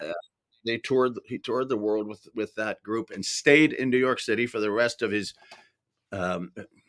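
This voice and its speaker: Speaking at a moderate pace, a man has a normal speaking voice at a medium pitch with ordinary pitch variation. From Canada. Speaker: voice actor. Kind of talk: interview answer.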